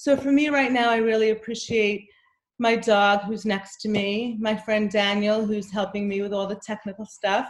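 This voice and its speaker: At a moderate pace, a woman talks in a plain, everyday voice, fairly high in pitch with fairly even intonation. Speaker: anxiety coach. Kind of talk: workshop talk.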